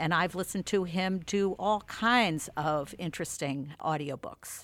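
A woman's ordinary speaking voice at a fairly slow pace, with ordinary pitch variation, on a very clean recording with a silent background. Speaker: magazine founder and audiobook reviewer. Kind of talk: casual chat.

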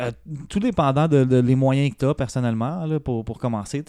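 A man talks at medium pitch with a dark, mellow tone and fairly even intonation. The recording is very clean, with a silent background. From Quebec, north shore of Montreal. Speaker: beginning comedian. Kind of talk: casual chat.

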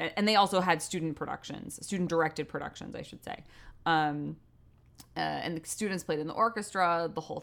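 This woman has a plain, everyday voice and an American accent, and she talks at a fairly quick pace with big swings in loudness. The recording is very clean, with a silent background. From US Northeast (Westport, Connecticut). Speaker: theater director. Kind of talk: interview.

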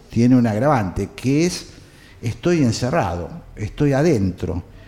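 At a very slow pace, a man talks with lively intonation. His pitch is medium. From Argentina, San Juan then Buenos Aires area. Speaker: journalist. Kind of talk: interview. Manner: hesitant, many fillers.

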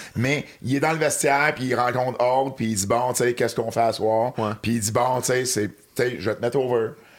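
A man with a plain, everyday voice, medium pitch, fairly even intonation and a fairly quick pace. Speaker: wrestling historian and commentator. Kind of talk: casual chat.

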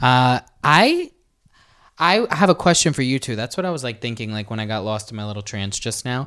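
A man's bright, sharp, medium-pitched voice with lively intonation at a fairly quick pace, on a very clean recording with a silent background. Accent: American. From New York City, Staten Island. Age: 20s. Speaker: dancer and social media influencer. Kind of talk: casual chat.

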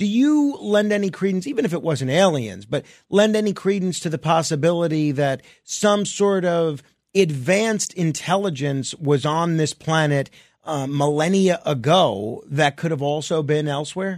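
In a normal speaking voice, a man with a fairly high pitch speaks at a moderate pace with lively intonation. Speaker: late-night radio talk show host. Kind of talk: radio call-in show.

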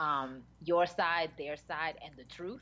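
A woman with an American accent has a fairly low pitch and ordinary pitch variation. It is a normal speaking voice. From Dominican heritage, US. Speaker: TV after-show panelist. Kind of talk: casual chat. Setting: remote call with delay.

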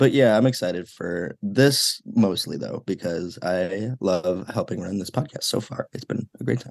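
A man with an American accent and a normal speaking voice talks at a moderate pace and medium pitch, with ordinary pitch variation and hardly any pauses. The sound is dry and close, with no echo. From Illinois, Chicago suburbs. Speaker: undergraduate student podcaster. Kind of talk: casual chat.

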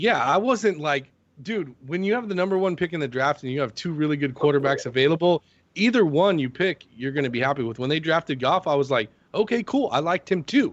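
A man with an ordinary speaking voice talks at a fairly quick pace, his fairly high pitch carrying lively intonation. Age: 40s. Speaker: fantasy sports player. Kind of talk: casual chat. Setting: phone call.

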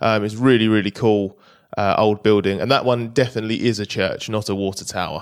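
A man with fairly low pitch and fairly even intonation, in a very clean recording with a silent background. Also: fairly quick pace. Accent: British. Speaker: motorsport journalist. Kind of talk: casual chat. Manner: halting.

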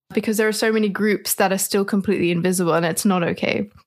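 A woman speaks with an Australian accent and fairly even intonation. The recording is very clean, with a silent background. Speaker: ecologist, activist and model. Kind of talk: interview.

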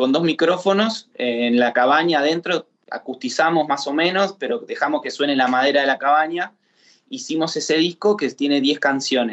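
A man talks in an ordinary speaking voice at a moderate pace. His pitch is fairly high, with ordinary pitch variation. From Argentina, Chapadmalal. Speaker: singer-songwriter. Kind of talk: casual interview.

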